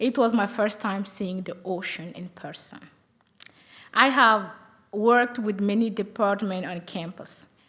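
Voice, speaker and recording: Speaking at a fairly slow pace, a woman with a medium pitch and a bright, sharp tone keeps her intonation fairly even while her loudness swings widely. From Burkina Faso. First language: French. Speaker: college student. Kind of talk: prepared speech.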